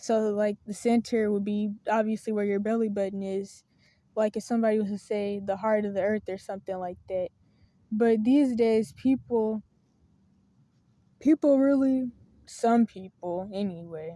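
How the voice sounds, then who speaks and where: This woman has a fairly high pitch and speaks with a Southern US accent. The sound is dry and close, with no echo. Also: fairly even intonation, moderate pace. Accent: Southern country. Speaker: video blogger on faith and mental health. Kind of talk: casual monologue to camera. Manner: hesitant, with fillers and self-corrections.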